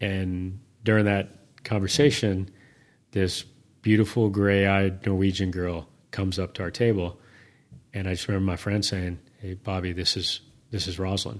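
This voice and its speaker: In a very deep, low voice, a man speaks at a moderate pace with fairly even intonation and long, frequent pauses. The recording is very clean, with a silent background. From eastern New Mexico, US. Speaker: business founder and army veteran. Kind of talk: interview. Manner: reflective storytelling.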